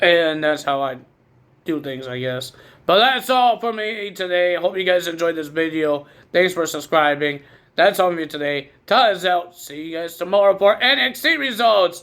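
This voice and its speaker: Loud and lively in intonation, a man talks at a high pitch and moderate pace. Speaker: wrestling commentator YouTuber. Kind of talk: casual recap vlog.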